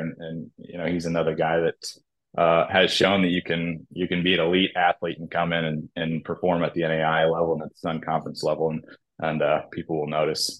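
Fairly quick, monotone delivery with flat intonation, in an American accent. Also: man. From US Midwest, Nebraska. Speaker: college athletics conference commissioner. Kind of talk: interview.

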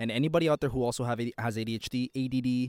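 In a dry, close sound with no echo and a very clean recording with a silent background, a man speaks at medium pitch with ordinary pitch variation. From Toronto, Canada. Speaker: podcast host. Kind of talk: solo monologue podcast. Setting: outdoors in a park, train passing. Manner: fast talker; informal, candid.

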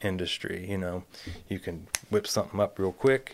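A man with an American accent speaks at a fairly low pitch. His pace is fairly quick. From US Midwest, Columbus, Ohio. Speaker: chef. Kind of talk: casual interview chat.

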